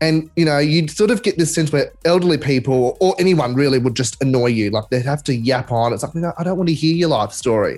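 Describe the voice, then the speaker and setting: A man with a fairly high voice talks at a fairly quick pace, with hardly any pauses. His loudness stays very even while his intonation is lively. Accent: Australian. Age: 20s. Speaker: radio host. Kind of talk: casual chat.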